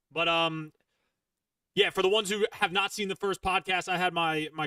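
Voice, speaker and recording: A man talks at a fairly quick pace in a Philadelphia accent, his tone bright and sharp and his intonation fairly even. The recording is very clean with a silent background, dry and close with no echo. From Philadelphia, US Northeast. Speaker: gaming streamer and podcast host. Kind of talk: casual chat. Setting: live stream.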